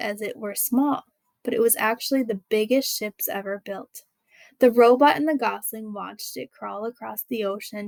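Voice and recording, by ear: Natural-voiced reading aloud against a quiet background, with pitch shifting in an ordinary way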